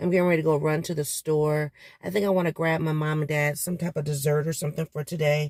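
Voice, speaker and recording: A woman's very deep, low voice in a flat monotone, dry and close with no echo, on a very clean recording with a silent background. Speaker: vlogger. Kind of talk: casual vlog. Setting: in a car. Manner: casual, hesitant with fillers.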